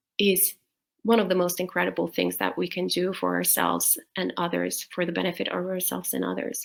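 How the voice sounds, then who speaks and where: A woman speaks at a fairly quick pace. She has a non-native accent. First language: not English. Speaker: Buddhist nun teacher. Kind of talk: dharma talk Q&A. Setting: livestream video call. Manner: hesitant, many fillers.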